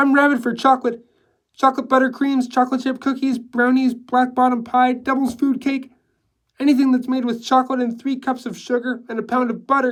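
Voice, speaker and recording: This is a put-on character voice with a fairly high pitch. It moves at a fairly quick pace in a monotone, flat intonation. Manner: chattering monotone.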